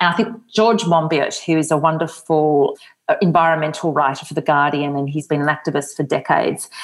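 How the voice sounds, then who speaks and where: A woman's unremarkable speaking voice, fairly low-pitched, at a moderate pace. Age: 40s. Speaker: author. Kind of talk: interview.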